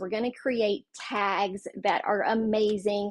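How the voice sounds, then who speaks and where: A woman's fairly high voice amid noticeable background noise. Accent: Southern US. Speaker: card-making crafter, livestream host. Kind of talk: live craft tutorial stream. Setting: livestream with chat. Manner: chatty, filler-heavy.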